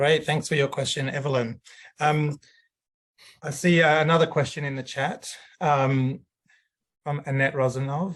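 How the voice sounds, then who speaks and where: Against a quiet background, a man's somewhat breathy voice sits at a medium pitch with ordinary pitch variation. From Greece. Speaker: webinar moderator. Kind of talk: webinar moderation.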